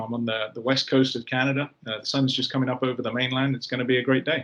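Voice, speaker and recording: A man with a British accent speaks at a medium pitch in a monotone, flat intonation. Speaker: company executive. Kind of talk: interview.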